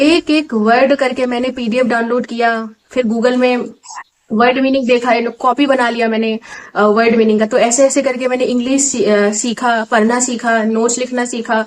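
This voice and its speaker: A woman's high-pitched voice, monotone and flat, in an Assamese accent. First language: Assamese (speaking Hindi). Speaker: exam aspirant vlogger. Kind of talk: casual vlog talk. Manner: hesitant, many fillers.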